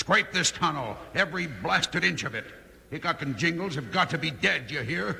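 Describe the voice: In a put-on character voice, the speaker uses a bright, sharp tone with vocal fry and lively intonation, over faint background noise. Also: man, fairly high pitch for a man, moderate pace.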